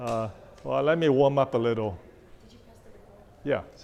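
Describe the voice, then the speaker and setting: With audible room echo around him, a man talks at a medium pitch with ordinary pitch variation. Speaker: township trustee, speaker. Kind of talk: public talk.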